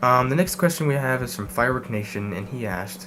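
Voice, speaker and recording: A man's fairly low voice, very fast and lively in intonation, with audible room echo and music in the background. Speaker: urban exploration youtuber. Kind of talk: Q&A vlog. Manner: hesitant, many fillers.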